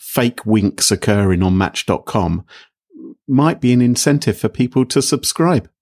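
The sound is dry and close, with no echo. A man with a British accent speaks fairly slowly, his intonation lively. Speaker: podcast host. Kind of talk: casual chat. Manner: jokey.

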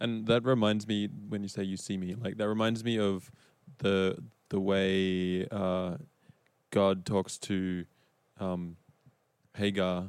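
Fairly slow speech in an Australian accent with fairly even intonation, on a very clean recording with a silent background. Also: man. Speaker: church elder and evangelism director. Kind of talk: panel discussion.

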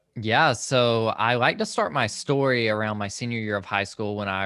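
With a Southern US accent, a man speaks at a moderate pace in a fairly low pitch with fairly even intonation. His tone is bright and sharp, and the recording is very clean with a silent background. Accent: Southern US (Georgia). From Georgia, US South (Social Circle, rural). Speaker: mental health and faith podcaster. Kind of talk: casual interview.

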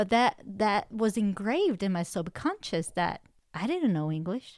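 A woman speaks with a non-native accent on a very clean recording with a silent background. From outside the US, immigrated as an adult. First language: not English. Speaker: podcast co-host and coach. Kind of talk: faith-based self-help podcast chat.

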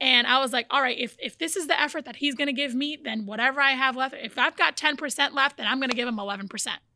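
A woman talks very fast in a high-pitched, raised, projected voice with a bright, sharp tone. The sound is dry and close with no echo, and her pitch varies in an ordinary way. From born in Brazil, raised in the US from age four. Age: young. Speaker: fitness journey guest. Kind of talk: casual interview.

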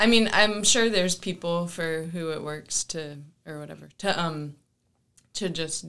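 A woman with an American accent speaks at a fairly low pitch in a bright, sharp tone. Her fairly slow delivery has ordinary pitch variation and big swings in loudness. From US South. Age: 20s. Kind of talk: casual interview. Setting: office studio. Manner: halting.

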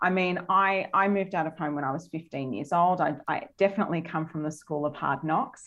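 In an Australian accent, a woman talks at a fairly quick pace with hardly any pauses, a fairly low pitch and ordinary pitch variation, against a quiet background. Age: 30s. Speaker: dance studio owner and business coach. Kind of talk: interview.

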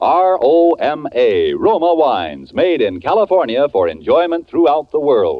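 A man talks with hardly any pauses. His loudness stays very even. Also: fairly slow pace. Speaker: radio commercial announcer. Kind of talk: sales pitch, announcer ad read.

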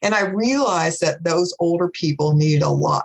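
A woman speaks with an American accent. Her voice is somewhat breathy. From Bristol, Virginia/Tennessee border (Appalachia). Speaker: gerontology professor. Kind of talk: webinar panel talk.

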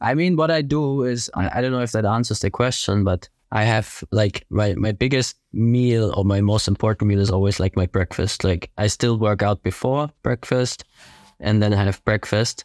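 A man with a German accent speaks at a fairly low pitch and a very even loudness, recorded very cleanly against a silent background. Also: ordinary pitch variation, moderate pace, dry, close sound with no echo. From southern Germany (Ingolstadt, Bavaria). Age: 20s. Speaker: fitness racing athlete. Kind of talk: casual chat.

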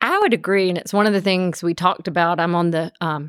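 A woman with a Georgia accent talks at a fairly quick pace, her pitch fairly low and her intonation fairly even. The sound is dry and close with no echo, on a very clean recording with a silent background. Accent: US Southern (Georgia). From Columbus, Georgia. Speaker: defense attorney. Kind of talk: casual interview.

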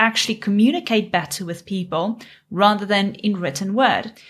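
A woman with a South African accent, fairly high in pitch, at a moderate pace. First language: Afrikaans. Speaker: business coach. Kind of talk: interview. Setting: video call.

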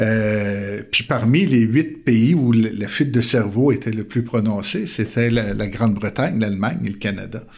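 The speaker has a Quebec accent. There are hardly any pauses. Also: man, medium pitch for a man, ordinary pitch variation, fairly slow pace. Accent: Québécois. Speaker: theology professor and pastor. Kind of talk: interview conversation.

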